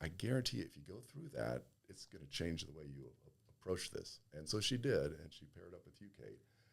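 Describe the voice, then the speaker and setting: A man with a very deep, low pitch uses vocal fry and very wide pitch swings. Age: 60s. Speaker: gym member, fitness enthusiast. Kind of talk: casual chat. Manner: halting.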